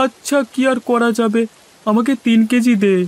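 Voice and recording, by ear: A man puts on a cartoonish character voice at an extremely high pitch, his intonation fairly even and the sound dry and close with no echo. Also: moderate pace.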